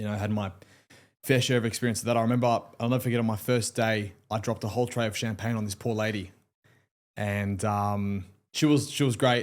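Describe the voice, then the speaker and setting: An Australian accent marks this man's very fast speech, broken by long, frequent pauses. The recording is very clean, with a silent background. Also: medium pitch for a man, fairly even intonation. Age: 20s. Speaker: lawyer. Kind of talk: casual chat.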